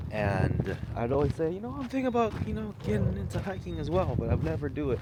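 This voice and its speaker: Talking very fast, a man with a medium-pitched voice swings widely in pitch over noticeable background noise and audible room echo. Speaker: vlogger and author. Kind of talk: casual vlog monologue. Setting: outdoors on a hike. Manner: loud.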